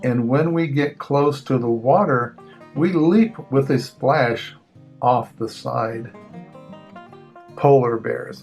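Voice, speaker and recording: Over background music, a man speaks very slowly with long, frequent pauses, his fairly high voice showing ordinary pitch variation. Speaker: grandfather reading children's books aloud. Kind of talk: children's picture book reading. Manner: casual, friendly, chatty.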